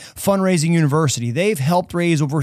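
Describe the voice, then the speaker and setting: In a plain, everyday voice, a man talks with lively intonation at a fairly high pitch. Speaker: mental performance coach and podcast host. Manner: gently repetitive, counting down and listing body parts.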